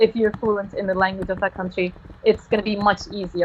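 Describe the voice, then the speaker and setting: A woman's medium-pitched voice carries through noticeable background noise. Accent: Turkish. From Turkey. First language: Turkish. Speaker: university student. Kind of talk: live stream interview. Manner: halting.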